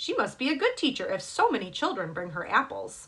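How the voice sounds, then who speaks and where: A woman's put-on character voice, high in pitch, at a fairly quick pace. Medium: read story.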